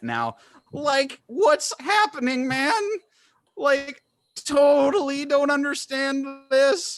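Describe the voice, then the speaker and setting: The speaker puts on a character voice at a very slow pace. Long pauses come frequently. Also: man, extremely high pitch for a man. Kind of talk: casual, surfer-like slang. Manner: dopey, laid-back cartoon manner.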